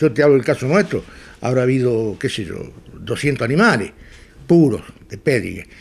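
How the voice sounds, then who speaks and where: A man speaks at a moderate pace with a Rioplatense accent and lively intonation. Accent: Argentine rioplatense Spanish. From Argentina, Pampas (Chañar Ladeado, Santa Fe). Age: 70s. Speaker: pig breeder and livestock judge. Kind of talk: interview. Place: home room.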